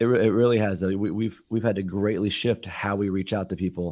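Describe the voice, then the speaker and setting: A man with a fairly low pitch and an American accent, a normal speaking voice, fairly even intonation and a fairly quick pace against a quiet background. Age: 30s. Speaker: financial advisor. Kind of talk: interview.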